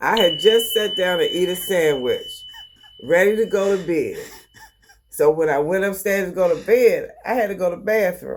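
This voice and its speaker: A woman speaks at a moderate pace in an animated tone. Audible room echo surrounds her voice. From Baltimore, Maryland. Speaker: host's mother. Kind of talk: storytelling.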